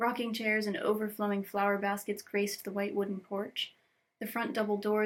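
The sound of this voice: Nothing much stirs in the quiet background. The reading voice is unforced.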